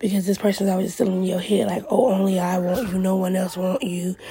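With noticeable background noise behind her, a woman speaks fairly quickly at medium pitch in a monotone, flat intonation. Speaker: podcast host. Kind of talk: self-interview monologue.

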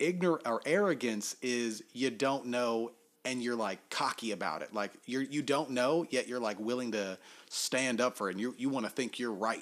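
Moderate pace and ordinary pitch variation from a man, medium in pitch, with an unremarkable speaking voice. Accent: American. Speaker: podcast host. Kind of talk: casual chat.

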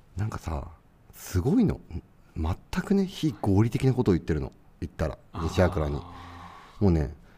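Very deep and low, a man's voice carries a dark, mellow tone and is somewhat breathy, with very wide pitch swings. He keeps a moderate pace broken by long, frequent pauses. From Tochigi, Japan. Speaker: furniture company founder. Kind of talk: casual interview.

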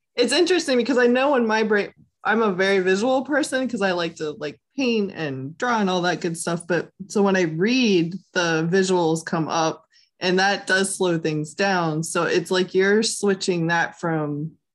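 A woman has an unremarkable speaking voice at a medium pitch with lively intonation. She talks at a moderate pace against a quiet background. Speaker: podcast host. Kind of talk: interview.

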